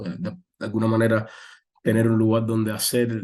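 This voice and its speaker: Pitched fairly low, this man's voice has a dark, mellow tone. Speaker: journalist. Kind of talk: interview. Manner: fast; halting.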